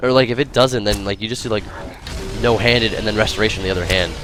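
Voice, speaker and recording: Backed by music, a man rattles along at a very fast pace, fairly low in pitch with ordinary pitch variation. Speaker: game streamer. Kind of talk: live gameplay commentary. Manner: halting.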